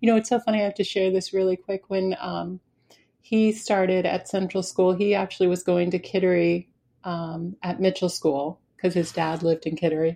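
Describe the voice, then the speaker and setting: A dark, mellow, warm tone in an American accent, with fairly even intonation, moderate pace and a quiet background. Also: woman, medium pitch for a woman. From New Hampshire, US. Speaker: podcast host. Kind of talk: casual interview. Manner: warm, laughs often.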